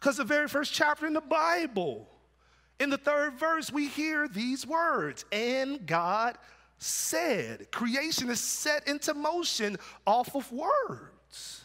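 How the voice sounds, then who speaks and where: A man projects a raised voice with a bright, sharp tone at an extremely high pitch. His intonation is lively and his pace very slow. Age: 40s. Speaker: pastor. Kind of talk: sermon. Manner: halting, repeats words.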